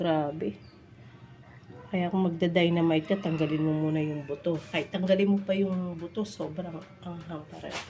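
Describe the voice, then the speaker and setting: Music plays behind a woman speaking at a moderate pace. Her pitch is fairly low. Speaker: vlogger. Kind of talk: cooking vlog. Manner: casual, halting with fillers.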